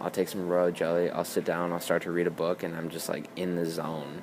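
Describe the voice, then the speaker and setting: Against noticeable background noise, a man with a very deep, low pitch speaks in a monotone, flat intonation at a moderate pace. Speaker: beauty and wellness vlogger. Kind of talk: casual vlog monologue. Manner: halting with many repetitions and fillers.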